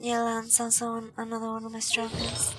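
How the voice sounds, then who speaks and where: Noticeable background noise runs through the clip. Room echo is also audible. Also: woman. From Mexico. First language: Spanish. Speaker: gaming streamer. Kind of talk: casual gameplay commentary. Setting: live stream. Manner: halting, with many fillers.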